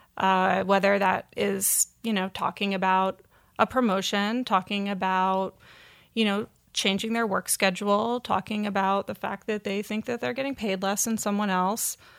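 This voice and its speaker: In an American accent, a woman uses a normal speaking voice at medium pitch, with a dry, close sound with no echo on a very clean recording with a silent background. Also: moderate pace. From Vermont, US. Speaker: magazine editor. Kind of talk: interview conversation.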